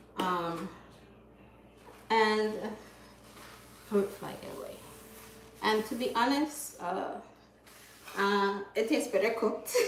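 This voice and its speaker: A woman with a fairly high voice talks very slowly, leaving long, frequent pauses, her loudness swinging widely and her pitch moving in an ordinary way, with audible room echo. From Jamaica, Clifton, Hanover. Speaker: vegan food content creator. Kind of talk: livestream cooking demo, casual chat.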